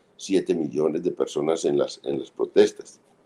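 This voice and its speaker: A man speaking at a fairly slow pace. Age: 60s. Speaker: political analyst and writer. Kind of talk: interview. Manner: halting.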